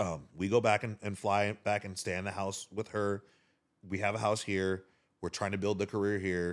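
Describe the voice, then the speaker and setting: Over a silent background in a very clean recording, a man with a fairly low pitch talks at a moderate pace in a monotone, flat intonation. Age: 40s. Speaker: DJ. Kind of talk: casual chat.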